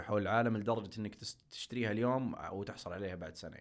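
This man has a plain, everyday voice with a fairly low pitch and ordinary pitch variation, recorded very cleanly against a silent background. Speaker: investment manager at a crowdfunding firm. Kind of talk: podcast interview.

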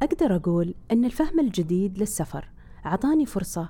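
A woman speaks fairly slowly at a medium pitch in a dark, mellow tone. Her pitch swings very widely. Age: 40s. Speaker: podcast host. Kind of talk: scripted narration.

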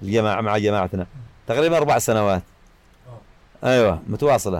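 A man speaks at a moderate pace. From Yemen, Yafa highlands. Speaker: tyre repair shop owner. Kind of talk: personal life story. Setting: his workshop. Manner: halting.

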